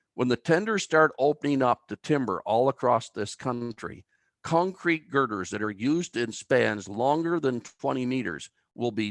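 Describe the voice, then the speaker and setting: In a plain, everyday voice, a man of medium pitch speaks at a moderate pace with lively intonation, sounding dry and close with no echo on a very clean recording with a silent background. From Canada, New Brunswick (Albert County). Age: 60s. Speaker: timber engineer. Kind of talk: lecture.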